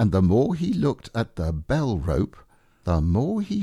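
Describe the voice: The clip is plain reading aloud. Nothing more is heard than that.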